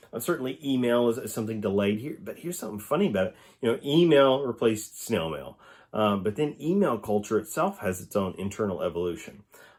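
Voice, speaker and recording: This speaker talks at a very fast pace with lively intonation and an Oklahoma accent. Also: man, medium pitch for a man. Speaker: professor. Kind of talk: recorded lecture answering student questions. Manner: halting, many fillers and restarts.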